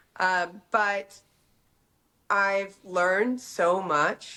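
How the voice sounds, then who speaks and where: A woman with an American accent talks at a medium pitch. The recording is very clean, with a silent background. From Texas, Dallas. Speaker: fashion entrepreneur. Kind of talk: casual interview. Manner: hesitant fillers.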